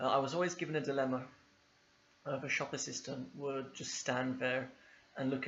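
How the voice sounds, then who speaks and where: Audible room echo surrounds a man with a London accent who talks at medium pitch and a moderate pace. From England, East London. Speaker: English teacher. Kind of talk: video lesson.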